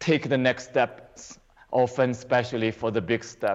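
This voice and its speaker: A man with a Chinese accent, medium pitch and ordinary pitch variation. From China. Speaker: qigong teacher. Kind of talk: interview.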